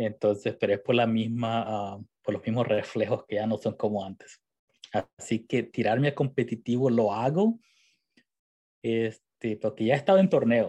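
Dark, mellow tone with ordinary pitch variation over a quiet background. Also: man, medium pitch for a man, moderate pace. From El Salvador. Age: 40s. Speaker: esports team founder and streamer. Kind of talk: interview.

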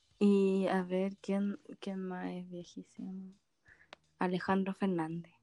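A woman with a Chilean accent at a very slow pace, medium pitch, monotone and flat. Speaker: podcast co-host. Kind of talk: casual chat.

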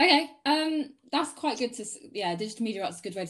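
A woman with a southern English accent, somewhat breathy, with very wide pitch swings. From Sussex, southern England. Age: 20s. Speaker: photographer. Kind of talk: interview. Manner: casual.

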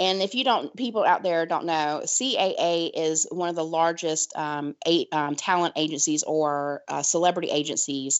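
Speaking with ordinary pitch variation, a woman has a fairly low pitch. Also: moderate pace, hardly any pauses. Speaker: podcast co-host. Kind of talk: casual chat. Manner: animated.

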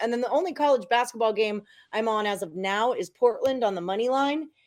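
Speaking at a moderate pace, a woman has an ordinary speaking voice with a fairly high pitch and ordinary pitch variation. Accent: American. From Texas, Houston. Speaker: sports betting handicapper. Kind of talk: casual chat.

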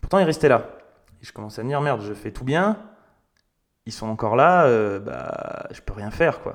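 This man talks at a moderate pace. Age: 30s. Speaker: podcast host. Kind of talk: personal monologue. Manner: casual, hesitant with fillers.

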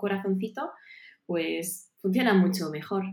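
At a fairly slow pace, a woman speaks in a somewhat breathy voice. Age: 40s. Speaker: nutrition and health advisor. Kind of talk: interview.

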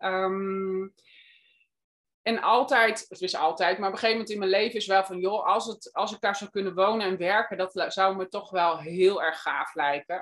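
A woman talks at a moderate pace in a normal speaking voice. Her pitch is medium, with ordinary pitch variation. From Netherlands. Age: 50s. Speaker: guesthouse owner. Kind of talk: interview. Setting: video call.

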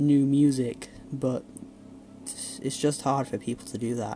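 Over noticeable background noise, the speech moves at a fairly slow pace. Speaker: music reviewer. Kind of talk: solo music review monologue. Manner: hesitant, many fillers.

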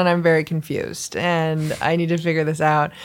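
Speaking at a moderate pace in an ordinary speaking voice, a woman with a fairly low pitch is heard in a very clean recording with a silent background. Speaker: radio show co-host and musician.

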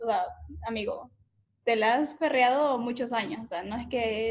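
Moderate pace and fairly even intonation in a normal speaking voice. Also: woman. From Ecuador, coastal region (La Concordia). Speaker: podcast host. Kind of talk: casual interview.

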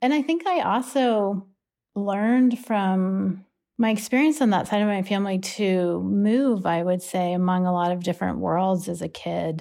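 A woman at a medium pitch with an American accent and a dark, mellow tone, at a moderate pace with ordinary pitch variation, on a very clean recording with a silent background. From US, Pittsburgh. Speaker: psychology professor. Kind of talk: interview conversation.

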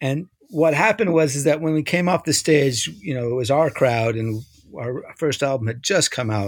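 Lively intonation marks this man's unremarkable speaking voice. He has an American accent and speaks at a fairly quick pace. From New York. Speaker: music magazine publisher and musician. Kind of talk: casual interview. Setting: internet call. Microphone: internet problems.

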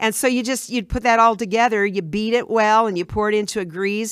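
On a very clean recording with a silent background, a woman with an American accent speaks at a fairly quick pace. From Illinois, US. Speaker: retired teacher and home cook. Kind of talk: casual chat.

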